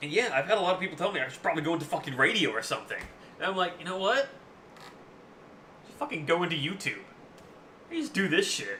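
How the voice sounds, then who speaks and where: Against noticeable background noise, a man talks loudly at a very fast pace in a high pitch, with very wide pitch swings and long, frequent pauses. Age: 20s. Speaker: gaming streamer. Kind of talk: casual chat. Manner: halting.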